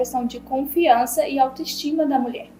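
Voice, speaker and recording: Music plays in the background as a woman talks at a moderate pace. Her pitch is high, with ordinary variation. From Bahia, Brazil. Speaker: podcast host. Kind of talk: podcast interview.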